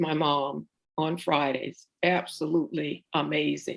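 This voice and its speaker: A woman with an American accent and vocal fry. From US South, central Florida. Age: 70s. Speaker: oral history interviewee. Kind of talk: oral history interview. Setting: video call.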